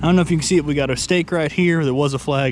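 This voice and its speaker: A man with a Southern US accent talks over noticeable background noise. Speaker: homesteader vlogger. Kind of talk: casual walking tour vlog. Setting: outdoors.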